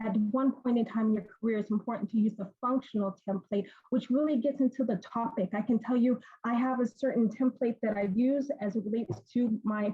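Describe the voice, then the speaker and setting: The pace is fairly quick. Intonation stays fairly even throughout. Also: woman, fairly high pitch for a woman. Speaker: university professor and career counselor. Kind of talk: panel Q&A answer. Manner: fast.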